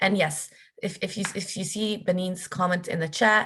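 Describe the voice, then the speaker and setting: This woman's voice is somewhat breathy and medium in pitch. She keeps a moderate pace with fairly even intonation. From Palestine, Jerusalem, moved to Canada at 15. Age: 20s. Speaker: workshop facilitator. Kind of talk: workshop talk. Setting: video call. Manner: halting, many fillers and repeats.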